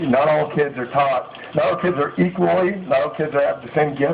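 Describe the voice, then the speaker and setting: There is noticeable background noise as a man with an American accent talks at a moderate pace. His pitch is fairly high, with ordinary pitch variation. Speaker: company CEO and author. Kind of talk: motivational speech at book signing. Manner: halting, many fillers.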